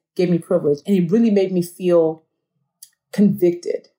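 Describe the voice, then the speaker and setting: A woman talks at a moderate pace in a somewhat breathy voice of medium pitch with a dark, mellow tone. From Nigeria. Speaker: author and speaker. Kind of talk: interview conversation.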